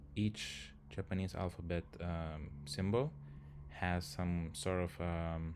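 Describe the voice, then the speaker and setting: A man with a Lithuanian accent, very deep and low in pitch, at a very slow pace with ordinary pitch variation. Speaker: software engineer, language learner streamer. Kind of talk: live stream tutorial. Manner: hesitant, many fillers.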